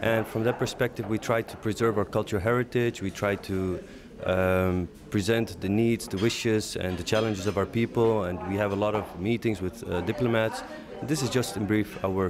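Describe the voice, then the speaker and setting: A man's fairly low voice at a moderate pace, fairly even in intonation, over noticeable background noise. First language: Aramaic. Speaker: leader of an advocacy organization. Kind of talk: interview. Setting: conference break. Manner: hesitant, many fillers.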